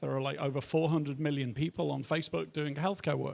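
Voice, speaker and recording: Speaking in a Liverpool accent, a man talks at a fairly high pitch. The recording is very clean, with a silent background. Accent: British, Liverpool. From northern England, Liverpool. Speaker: tech entrepreneur, panelist. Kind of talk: panel discussion introduction.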